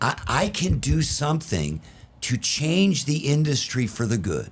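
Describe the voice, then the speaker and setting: With vocal fry and very wide pitch swings, a man talks in a fairly high voice. His pace is fairly slow. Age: 60s. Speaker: concrete industry consultant. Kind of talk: casual chat.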